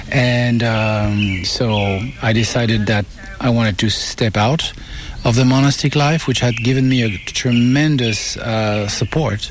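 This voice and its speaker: A man with a French accent speaks at a medium pitch and a fairly slow pace, with fairly even intonation and very even loudness. Noticeable background noise runs underneath. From France. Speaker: Buddhist teacher. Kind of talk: interview. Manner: halting.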